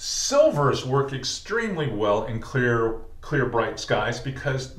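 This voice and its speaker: Room echo is audible and background noise is noticeable as a man talks. He goes at a fairly slow pace with ordinary pitch variation. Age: 60s. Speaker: fishing guide and instructor. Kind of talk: tutorial. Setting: tackle shop. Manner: casual, conversational.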